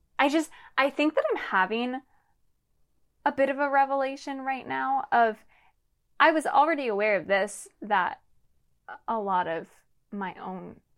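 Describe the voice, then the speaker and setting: Speaking at a fairly slow pace, a woman with an American accent uses lively intonation at a fairly high pitch. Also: very clean recording, silent background. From Lancaster, Pennsylvania. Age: 20s. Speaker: podcast co-host. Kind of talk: casual chat.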